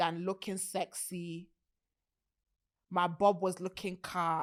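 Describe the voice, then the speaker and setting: An animated woman with a British accent on a very clean recording with a silent background. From UK. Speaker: podcast host. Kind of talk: casual chat.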